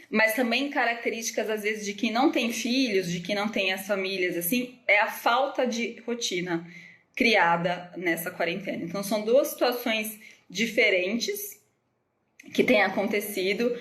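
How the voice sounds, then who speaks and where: A woman's fairly high voice with audible room echo. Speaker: nutritionist. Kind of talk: live stream Q&A talk. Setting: Instagram live from home. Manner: hesitant, many fillers.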